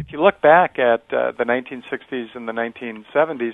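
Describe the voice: Vocal fry runs through a man's fast speech. The sound is dry and close, with no echo. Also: medium pitch for a man, ordinary pitch variation.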